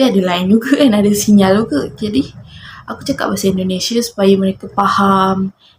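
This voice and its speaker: Ordinary pitch variation marks a woman with a normal speaking voice. Her pitch sits in the medium range. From Malaysia, Johor Bahru. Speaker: vlogger. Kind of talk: casual monologue to camera.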